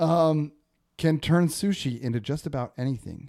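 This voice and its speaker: On a very clean recording with a silent background, a man with an American accent speaks at a fairly slow pace, his tone dark and mellow and his pitch fairly high. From northern California, Humboldt. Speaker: podcast host. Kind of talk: casual chat.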